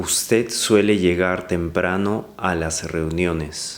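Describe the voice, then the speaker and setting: A man speaks in a very deep, low voice. His pace is very slow, and his intonation stays fairly even. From Lima, Peru. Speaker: language lesson voice-over. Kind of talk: language lesson listen-and-repeat read. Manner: clear, slow.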